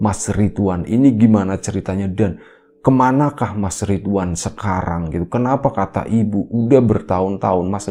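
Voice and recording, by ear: With ordinary pitch variation, a natural voice reads the text aloud.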